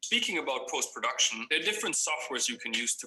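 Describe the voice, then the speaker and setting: A man talks with a slight German accent over noticeable background noise. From Germany. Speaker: video production trainer. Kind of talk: tutorial.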